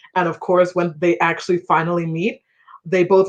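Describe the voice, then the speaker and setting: At a moderate pace, a woman with an unremarkable speaking voice talks at a fairly low pitch. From Ghana, raised in US from age 3-4. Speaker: debut novelist. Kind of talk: panel conversation at book launch. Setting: livestreamed online event. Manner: casual, chatty.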